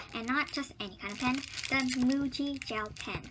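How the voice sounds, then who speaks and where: Her voice high and her intonation fairly even, a woman speaks over noticeable background noise. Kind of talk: product review talk to camera.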